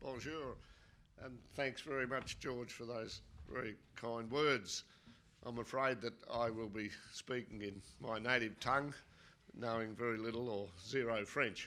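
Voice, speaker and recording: A man's bright, sharp voice at medium pitch, with fairly even intonation and long, frequent pauses. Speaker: geology professor. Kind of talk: conference lecture. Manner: deliberately not too fast.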